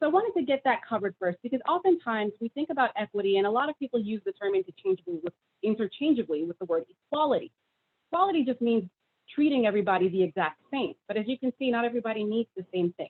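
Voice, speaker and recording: Very wide pitch swings mark a woman's fairly high voice as she talks at a very fast pace. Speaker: state government official, presenter. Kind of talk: presentation.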